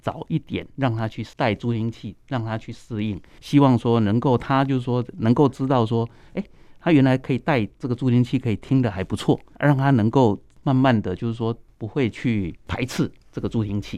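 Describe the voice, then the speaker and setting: A man with a Taiwanese accent, medium pitch, ordinary pitch variation, a dark, mellow tone and a moderate pace against a quiet background. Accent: Taiwanese Mandarin. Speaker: ENT doctor. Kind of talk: radio interview.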